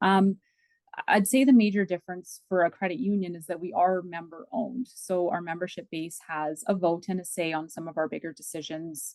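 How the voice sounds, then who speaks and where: With a fairly low pitch and ordinary pitch variation, a woman talks at a fairly quick pace in a dry, close sound with no echo. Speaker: credit union business development manager. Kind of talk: podcast interview. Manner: halting, self-correcting.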